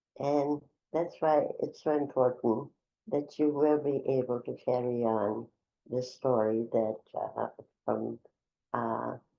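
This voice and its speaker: Very slowly and with vocal fry, a woman speaks in a very deep, low voice with ordinary pitch variation. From Czechoslovakia. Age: 90s. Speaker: Holocaust survivor. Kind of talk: testimony. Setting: in-person interview. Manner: halting.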